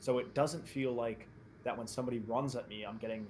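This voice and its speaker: This man speaks with an American accent at a moderate pace and a medium pitch. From New Jersey. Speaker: esports player. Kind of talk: casual chat. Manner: animated.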